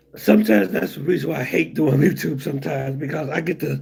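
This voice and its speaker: A man speaks at a fairly quick pace with very wide pitch swings against noticeable background noise. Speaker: YouTuber. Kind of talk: casual, conversational.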